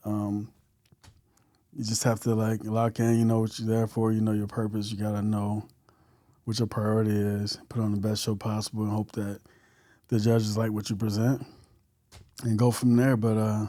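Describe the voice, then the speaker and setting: Speaking in a monotone with a fairly low pitch and a dark, mellow tone, a man with an American accent takes long, frequent pauses in a very clean recording with a silent background. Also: moderate pace. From US South, rural Alabama. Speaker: bodybuilder and delivery driver. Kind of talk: interview. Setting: studio. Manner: halting with fillers.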